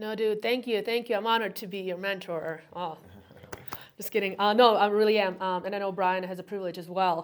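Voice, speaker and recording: A woman with a medium pitch and an unremarkable speaking voice talks at a fairly quick pace with fairly even intonation and big swings in loudness. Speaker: real estate agent. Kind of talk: podcast host interview.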